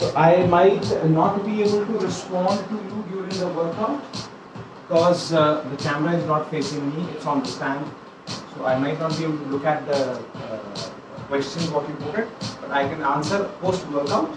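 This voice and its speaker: With noticeable background noise behind him, a man talks at a moderate pace with ordinary pitch variation. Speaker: fitness instructor. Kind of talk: live workout instruction. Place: home room. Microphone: camera far.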